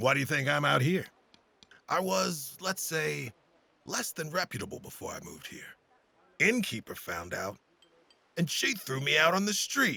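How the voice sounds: A man uses a put-on character voice that is raspy and fairly high, with very wide pitch swings. He moves at a moderate pace with big swings in loudness and long, frequent pauses.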